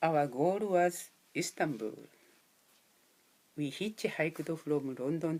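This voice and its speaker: Long pauses come often in this very slowly paced speech. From Japan. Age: 60s. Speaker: volunteer speaker. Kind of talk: prepared talk to students. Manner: slow, simple English.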